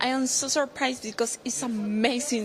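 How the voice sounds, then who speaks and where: With a Paraguayan accent, a woman speaks with ordinary pitch variation. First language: Spanish. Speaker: beauty pageant contestant. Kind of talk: interview. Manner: halting non-native English.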